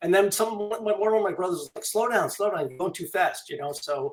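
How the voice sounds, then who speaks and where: Speaking in a New York accent, a man talks at a fairly quick pace with a high pitch. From Long Island, New York. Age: 60s. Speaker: author and illustrator. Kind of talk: interview. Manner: casual, with many fillers.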